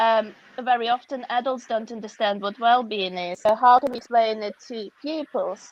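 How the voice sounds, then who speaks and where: Her pitch is high, and she speaks with a Russian accent. The woman keeps a moderate pace and fairly even intonation. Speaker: author and educator. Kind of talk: interview.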